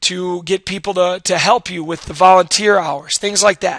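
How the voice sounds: A man speaks in a high, raspy voice. His tone is fairly bright.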